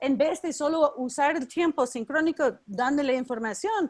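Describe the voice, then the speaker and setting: A woman speaks with ordinary pitch variation. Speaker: educator leading a teacher workshop. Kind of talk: online workshop.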